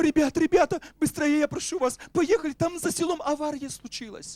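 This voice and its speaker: A man's shaky, put-on character voice at an extremely high pitch, moderately paced, with a dry, close sound and no echo. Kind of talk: Russian spoken by a Ukrainian speaker. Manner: pleading, urgent.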